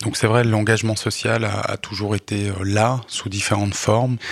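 Over noticeable background noise, a man talks at a moderate pace in a fairly low pitch with monotone, flat intonation. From Switzerland, Lausanne area. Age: 40s. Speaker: poet, social worker and local politician. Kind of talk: radio interview. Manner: hesitant, many fillers and repetitions.

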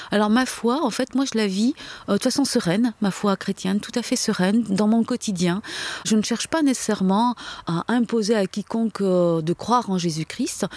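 The recording is dry and close, with no echo. A woman talks at a fairly high pitch and moderate pace, with ordinary pitch variation. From France, Algerian parents. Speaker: convert from Islam to Christianity. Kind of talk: testimony. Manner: halting.

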